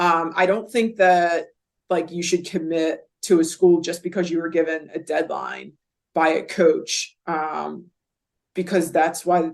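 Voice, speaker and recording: At a fairly slow pace, a woman speaks in a fairly low voice with flat, monotone intonation. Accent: Philadelphia. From Philadelphia area, US. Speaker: college basketball coach. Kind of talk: podcast interview. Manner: casual, filler-heavy.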